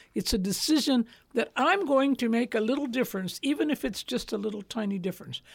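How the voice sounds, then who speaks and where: Speaking very fast with an American accent, a woman uses a fairly high pitch and lively intonation in a very clean recording with a silent background. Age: 80s. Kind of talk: interview conversation. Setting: studio.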